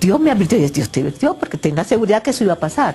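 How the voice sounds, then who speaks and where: Noticeable background noise fills the recording. A woman talks through it. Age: 60s. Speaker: dream interpreter. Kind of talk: TV interview. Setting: TV studio.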